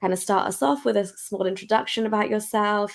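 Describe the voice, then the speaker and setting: A woman with a British accent speaks at a medium pitch and a moderate pace. Her intonation stays fairly even. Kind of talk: casual interview chat.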